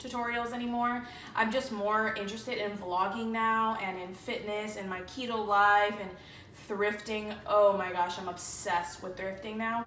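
The intonation is fairly even, with light background noise and audible room echo. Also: woman, moderate pace. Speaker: beauty vlogger. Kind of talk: casual vlog chat. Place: home room. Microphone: phone near.

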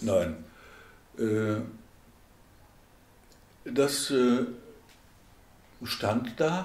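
Room echo can be heard as a man with a medium pitch speaks. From Schwerte, Germany. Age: 80s+. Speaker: oral history interviewee. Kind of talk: oral history interview answer. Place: home room.

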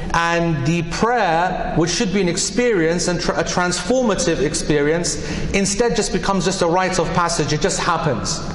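This man has a high pitch and ordinary pitch variation. He speaks at a moderate pace, with audible room echo. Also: very even loudness. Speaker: preacher. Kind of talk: sermon. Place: hall. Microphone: podium.

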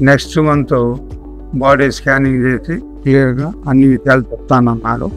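Faint music plays in the background of this dry, echo-free recording, and the intonation stays fairly even. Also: man. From Nandyal, Kurnool district, Andhra Pradesh, India. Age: 70s. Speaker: retired army man, cancer patient. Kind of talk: patient testimonial. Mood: calm, matter-of-fact.

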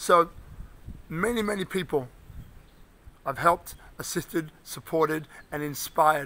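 A man speaks with a London accent. His voice is high-pitched, with a bright, sharp tone. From London, England. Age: 50s. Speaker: inspirational speaker and coach. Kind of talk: motivational video address. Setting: outdoors. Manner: animated. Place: street. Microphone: phone near.

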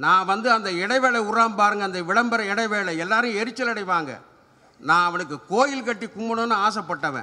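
A man speaks in a high-pitched voice. He is raised and projecting. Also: ordinary pitch variation. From Tamil Nadu. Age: 70s. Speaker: humour speaker; speaker. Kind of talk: stand-up. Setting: stage with audience. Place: open country. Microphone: podium.

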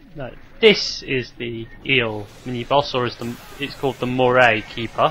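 Music plays in the background as a man talks at a moderate pace. His medium-pitched voice keeps fairly even intonation. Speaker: let's play commentator. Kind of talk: casual gameplay commentary. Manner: halting, somewhat incoherent.

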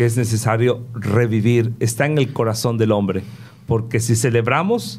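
A man at a fairly slow pace. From Veracruz, Mexico. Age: 50s. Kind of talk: interview. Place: studio. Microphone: studio mic.

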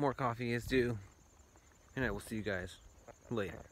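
The speech moves at a slow pace with ordinary pitch variation and audible room echo. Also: man.

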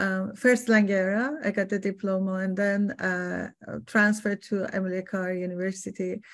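With a Persian accent, a woman talks at a moderate pace and medium pitch, her intonation fairly even over a quiet background. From Iran. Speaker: artist and art educator. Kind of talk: artist talk interview. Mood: warm, reflective. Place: home room. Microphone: webcam.

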